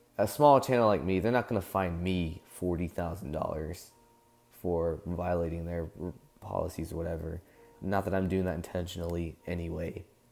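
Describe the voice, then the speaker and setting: Music plays in the background as a man with a very deep, low voice talks at a moderate pace with ordinary pitch variation. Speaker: fan-series creator and voice actor. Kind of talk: casual talk to camera.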